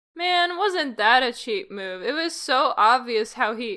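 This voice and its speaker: A female-sounding voice in a put-on character voice speaks at a fairly slow pace with a high pitch. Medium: audio drama. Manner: sarcastic.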